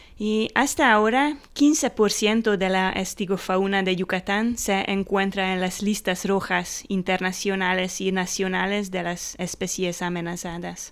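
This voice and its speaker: A woman speaks at a medium pitch with a non-native accent and ordinary pitch variation. Her pace is fairly slow, yet she leaves hardly any pauses. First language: Hungarian (speaking Spanish). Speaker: biologist and cave researcher. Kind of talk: interview. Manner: halting.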